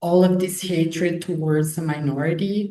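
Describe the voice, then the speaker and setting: In a room with audible echo, a woman with a fairly low pitch and a dark, mellow tone speaks at a very slow pace, somewhat breathy, with fairly even intonation. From Canary Islands, Spain. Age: 20s. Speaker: student, young activist. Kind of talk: webinar interview.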